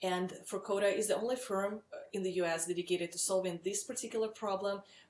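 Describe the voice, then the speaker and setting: A woman speaks with a Russian accent. Her intonation is fairly even. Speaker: startup founder and CEO. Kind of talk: webinar sales pitch. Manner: frequent filler words, some hesitation.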